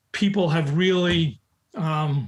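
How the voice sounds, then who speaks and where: Music plays in the background. A man with a New York accent speaks with ordinary pitch variation. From US Northeast, New York, the Bronx. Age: 70s. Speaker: recruiting expert and author. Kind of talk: podcast interview. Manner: forceful, in your face.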